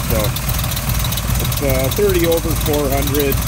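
Loud background noise surrounds speech delivered at a fairly slow pace. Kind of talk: casual vlog chat. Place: street. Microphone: phone near.

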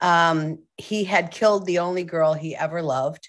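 A woman speaks at a fairly slow pace in a fairly low pitch against a quiet background. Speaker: guest. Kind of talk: interview answer. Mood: reflective, somber story. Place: home room. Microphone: video call.

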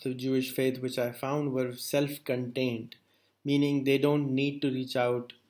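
A man delivers his words in a monotone, flat intonation. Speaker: interviewer. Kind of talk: interview. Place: office.

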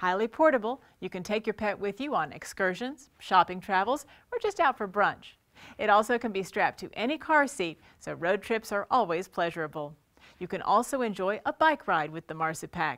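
Over a quiet background, a woman speaks at a moderate pace with very wide pitch swings. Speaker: presenter. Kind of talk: product presentation. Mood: upbeat promotional. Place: studio.

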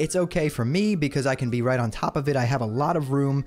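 Faint music plays in the background. A man talks very fast with ordinary pitch variation. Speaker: streaming gear reviewer. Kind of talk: tutorial. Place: home room. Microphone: studio mic.

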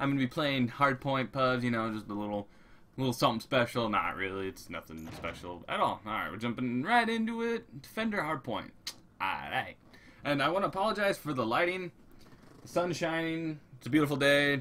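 With very wide pitch swings, a man talks at a fairly quick pace. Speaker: competitive gamer. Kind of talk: gameplay commentary. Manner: casual, conversational. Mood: reflective, motivational. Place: home room.

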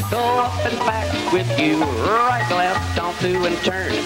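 Loud background noise sits behind a man who talks at a fairly slow pace. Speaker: square dance caller. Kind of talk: square dance calling rhythmic to music. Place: hall. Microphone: handheld.

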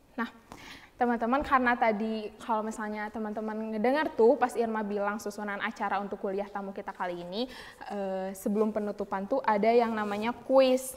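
A woman with a fairly high pitch talks at a moderate speed. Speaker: student event MC. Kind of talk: event hosting. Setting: video call. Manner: energetic. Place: studio.

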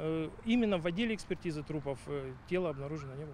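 Lively intonation and a very fast pace mark this man's delivery. His pitch is fairly high, and his tone is slightly mellow.

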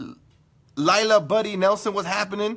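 A man with an American accent speaks at a fairly quick pace in an animated tone. The background is quiet. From California. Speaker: internet radio host. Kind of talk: casual livestream chat. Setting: live video stream. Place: home room. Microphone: phone near.

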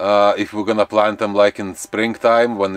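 The man has a fairly low pitch. The recording is dry, with no echo. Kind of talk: casual vlog chat. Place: garden. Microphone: camera far.

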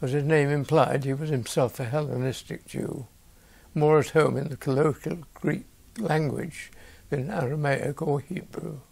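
A somewhat breathy male voice, fairly high in pitch, at a moderate pace. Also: ordinary pitch variation. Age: 80s+. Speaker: lay preacher. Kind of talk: reading a bible story. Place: home room. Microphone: lapel.

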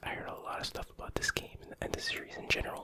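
Someone whispers softly over noticeable background noise. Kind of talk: casual collection showcase commentary. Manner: soft ASMR whisper.

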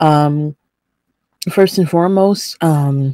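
A woman's very deep, low-pitched voice with a dark, mellow tone, very slow pace, dry sound with no echo, and a quiet background. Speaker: vlog host. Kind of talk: casual vlog chat. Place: home room. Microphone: webcam.

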